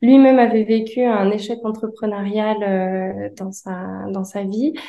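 At a very slow pace, a woman speaks in a dark, mellow tone with fairly even intonation. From France, Annecy. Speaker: painter and designer. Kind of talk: interview. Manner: hesitant, many fillers.

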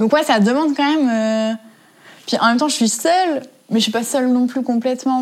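Her voice sits at a high pitch. This woman's pitch varies in an ordinary way. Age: 20s. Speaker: interviewee. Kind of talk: interview. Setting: at home.

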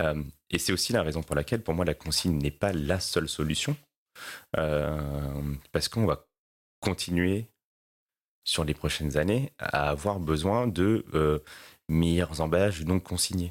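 Loudness stays very even, with ordinary pitch variation. Long pauses come often. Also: man, very deep, low pitch for a man. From La Réunion. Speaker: sustainability executive. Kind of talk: interview. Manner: hesitant with many fillers.

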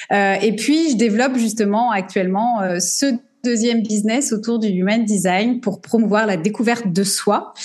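An unremarkable speaking voice from a woman, fairly high in pitch with ordinary variation, fairly slow, at very even loudness. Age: 40s. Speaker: business coach. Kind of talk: interview.

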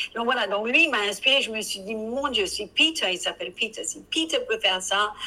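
A woman at a moderate pace with lively intonation. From Britain. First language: English (speaking French). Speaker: professional coach. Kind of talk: interview.

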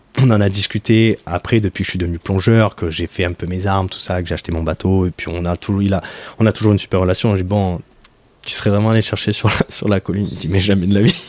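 The dry, close sound with no echo carries a man talking very fast at a fairly low pitch with fairly even intonation. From Marseille, southern France. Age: 30s. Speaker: professional coral diver. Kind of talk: interview. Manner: halting.

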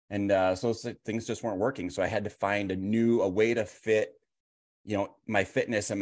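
Over a quiet background, a man talks at a fairly quick pace with an ordinary speaking voice. His pitch is fairly low, with ordinary pitch variation. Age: 50s. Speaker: police officer. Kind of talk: casual chat.

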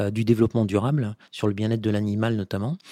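A man's voice at medium pitch, dark and mellow in tone, with a dry, close sound and no echo. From France, Vendée. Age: 50s. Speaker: food company marketing director. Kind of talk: interview. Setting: company offices. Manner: hesitant, many fillers.

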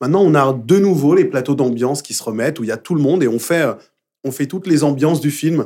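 Speaking at a very fast pace, a man with a fairly high pitch, a dark, mellow tone and ordinary pitch variation is heard in a very clean recording with a silent background. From Paris, Belleville. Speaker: musical theatre performer and dub actor. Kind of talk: casual interview. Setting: studio.

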